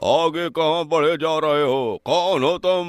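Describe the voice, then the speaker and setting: A man puts on a cartoonish character voice with a fairly high pitch. He keeps a moderate pace and fairly even intonation. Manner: haughty, commanding.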